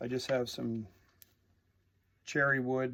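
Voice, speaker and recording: A man's medium-pitched voice, monotone and flat, at a very slow pace. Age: 60s. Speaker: chef and inventor demonstrating woodworking. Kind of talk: how-to tutorial. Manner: casual, halting with many fillers.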